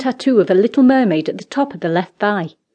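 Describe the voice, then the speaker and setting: The tone is dark and mellow, with lively intonation. Delivery moves at a moderate pace against a quiet background. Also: woman. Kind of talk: audiobook narration. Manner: storytelling, measured and expressive.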